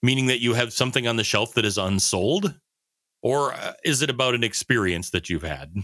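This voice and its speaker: A man's medium-pitched voice with vocal fry, lively intonation, and a fairly quick pace. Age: 50s. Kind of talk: casual chat.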